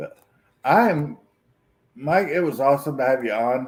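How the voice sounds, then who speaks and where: Speaking at medium pitch with vocal fry, a man makes very wide pitch swings. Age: 50s. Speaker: streamer. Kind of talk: casual chat.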